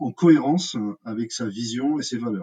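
A man's medium-pitched voice with a dark, mellow tone and ordinary pitch variation, dry and close with no echo. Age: 40s. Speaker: hospitality consultant. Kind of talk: interview. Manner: halting.

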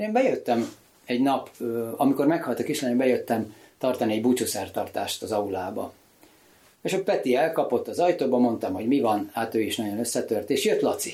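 A man speaks fairly quickly at a medium pitch. His tone is dark and mellow, with lively intonation. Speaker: sculptor and author. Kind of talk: casual chat.

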